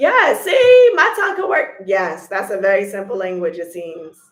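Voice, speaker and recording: Audible room echo colors the recording. A woman talks in it at a fairly slow pace. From United States. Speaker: vlogger. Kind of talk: casual chat. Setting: livestream.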